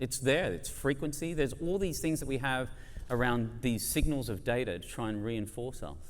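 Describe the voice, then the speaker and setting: Audible room echo surrounds a man with an Australian accent. He speaks at a fairly quick pace with very wide pitch swings. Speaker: advertising industry speaker. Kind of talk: conference debate speech. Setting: stage with audience. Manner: animated.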